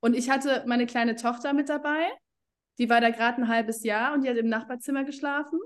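Her pitch is high for a woman. She speaks at a very fast pace. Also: fairly even intonation. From Germany. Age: 30s. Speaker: essential oils network marketing leader. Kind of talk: casual interview.

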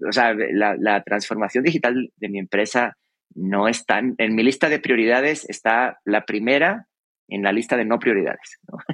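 Dry and close with no echo, a man talks at a moderate pace in an ordinary speaking voice, with medium pitch and ordinary pitch variation. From Spain, Extremadura (Cáceres). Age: 40s. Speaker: creative and innovation consultant. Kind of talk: interview conversation. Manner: repeats words, thinking aloud.

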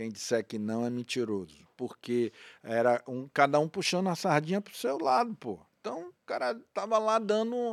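On a very clean recording with a silent background and a dry, close sound with no echo, a man talks with very wide pitch swings. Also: fairly high pitch for a man, moderate pace. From Bahia, Brazil (Feira de Santana). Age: 50s. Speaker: radio and TV presenter. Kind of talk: interview.

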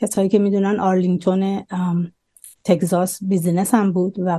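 A woman speaks at a moderate pace and medium pitch. Her tone is dark and mellow. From Iran. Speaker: immigrant business owner. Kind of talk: personal testimony interview.

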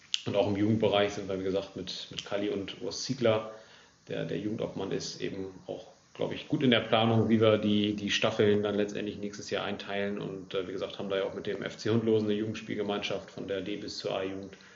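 A man talks fairly quickly in a fairly low, monotone, flat voice. Noticeable background noise and audible room echo fill the recording. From northern Germany, Lower Saxony (Großenkneten). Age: 20s. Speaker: amateur football club section head. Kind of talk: casual interview.

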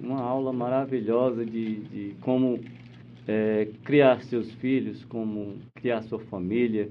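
A man at a medium pitch, with monotone, flat intonation and a very slow pace, in audible room echo. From Northeast Brazil (Ceará). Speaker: podcast host. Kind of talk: interview. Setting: radio studio.

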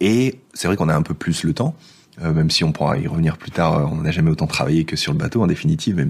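Noticeable background noise runs under this recording. A man speaks at a moderate pace with a very deep, low pitch. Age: 30s. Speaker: former IT project manager living on a sailboat. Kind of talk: casual interview.

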